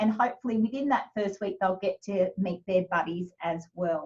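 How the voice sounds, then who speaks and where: A woman's medium-pitched, somewhat breathy voice with an Australian accent, a moderate pace and ordinary pitch variation. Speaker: kindergarten teacher. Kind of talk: information session presentation. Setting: video call.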